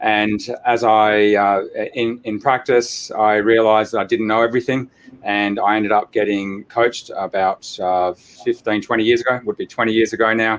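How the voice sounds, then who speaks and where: Here a man speaks with an Australian accent. His intonation is monotone and flat. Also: medium pitch for a man, moderate pace. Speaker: chiropractor and practice coach. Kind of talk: interview.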